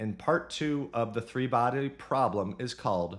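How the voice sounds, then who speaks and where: In an American accent, a man with a normal speaking voice talks at a fairly slow pace in a medium pitch with lively intonation. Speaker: book discussion youtuber. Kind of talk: casual book summary monologue. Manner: casual, humorous.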